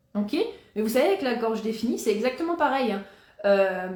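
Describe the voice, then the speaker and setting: Audible room echo surrounds speech delivered at a moderate pace with ordinary pitch variation. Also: woman. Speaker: Human Design coach. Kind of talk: live talk to viewers. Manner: casual, hesitant with fillers.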